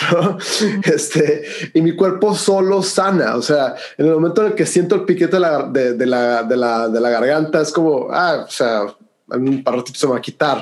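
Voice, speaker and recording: An unremarkable speaking voice from a man: moderate pace, fairly high pitch, lively intonation. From Mexico, Hermosillo, Sonora. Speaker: breathwork and cold exposure instructor. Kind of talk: interview conversation.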